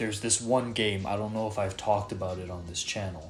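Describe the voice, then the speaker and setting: A man's somewhat breathy voice, fairly low in pitch. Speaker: gaming YouTuber. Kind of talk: video essay narration. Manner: casual, filler-heavy.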